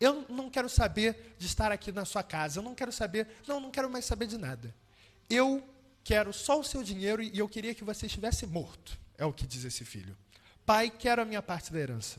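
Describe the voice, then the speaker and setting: High pitch from a man in a Rio de Janeiro accent, lively intonation, fairly quick pace, and big swings in loudness. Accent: Carioca Brazilian Portuguese. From Brazil, Rio de Janeiro. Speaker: preacher. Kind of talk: sermon.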